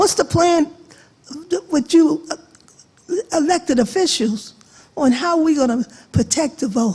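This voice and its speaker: Speaking slowly with long, frequent pauses, a woman with an American accent uses a high voice and lively intonation. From Long Island, New York. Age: 80s+. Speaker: audience member asking a question. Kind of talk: question at public forum.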